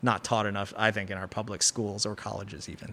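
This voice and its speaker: A very fast pace on a very clean recording with a silent background. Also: man. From US, Chicago area, Chinese immigrant family. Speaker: pizzeria owner. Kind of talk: casual interview chat. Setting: coffee shop.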